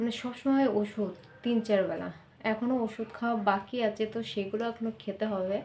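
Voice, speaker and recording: The voice is flat and monotone. Noticeable background noise runs underneath. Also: woman, fairly high pitch for a woman. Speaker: family vlogger. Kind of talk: casual vlog talk.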